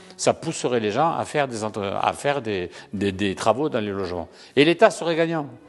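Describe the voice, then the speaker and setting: A man with very wide pitch swings over music in the background. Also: medium pitch for a man, moderate pace. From southern France, Languedoc. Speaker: real estate association president. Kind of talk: interview answer. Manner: halting, frequent repetitions.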